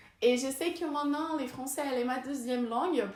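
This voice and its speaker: With audible room echo, a woman speaks in a Brazilian accent with ordinary pitch variation. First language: Portuguese (speaking French). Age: 20s. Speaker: vlogger and researcher. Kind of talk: casual vlog talk. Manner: halting, many hesitations.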